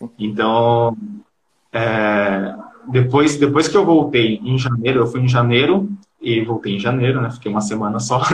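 Speech comes at a fairly slow pace in a somewhat breathy voice. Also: man. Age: 20s. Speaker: digital marketing freelancer. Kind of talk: casual live-stream interview. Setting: video call from Brazil.

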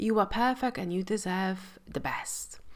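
In a very clean recording with a silent background, a woman speaks at a fairly slow pace with a warm tone. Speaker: mindset coach and podcast host. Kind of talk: solo podcast monologue about mindset. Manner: warm, compassionate, motivational.

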